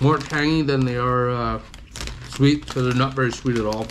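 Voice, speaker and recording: A man talks at a medium pitch and a moderate pace, with fairly even intonation. Audible room echo and noticeable background noise are present. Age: 40s. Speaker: food reviewer. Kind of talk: live stream snack review chat. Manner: stammering; casual.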